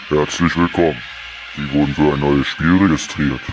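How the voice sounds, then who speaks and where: A man talks at a moderate pace while loud background noise fills the recording. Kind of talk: game announcement. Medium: comedy sketch. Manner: formal, announcer-like, polite but cold.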